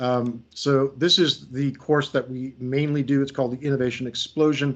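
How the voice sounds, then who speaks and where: Speaking with an American accent at a moderate pace, a man keeps a medium pitch and a monotone, flat intonation. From United States. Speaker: creativity coach and trainer. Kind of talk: workshop presentation. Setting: video call. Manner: hesitant, many fillers.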